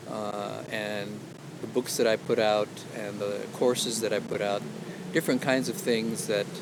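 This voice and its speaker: Against noticeable background noise, this man's pitch varies in an ordinary way. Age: 60s. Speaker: outdoor vlogger and illustrator. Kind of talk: casual vlog monologue. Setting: outdoors on a hike. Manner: hesitant, many fillers. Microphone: action camera mic, poor sound.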